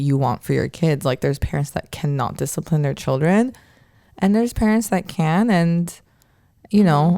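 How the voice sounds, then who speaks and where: This woman's dark, mellow tone carries lively intonation. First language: not English. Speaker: podcast host. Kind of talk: casual chat. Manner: casual, animated.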